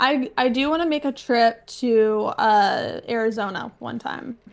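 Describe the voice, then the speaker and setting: Speaking very slowly at a fairly high pitch, a woman with a West Coast accent uses ordinary pitch variation. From US Pacific Northwest, Washington. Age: 20s. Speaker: content creator. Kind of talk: casual chat.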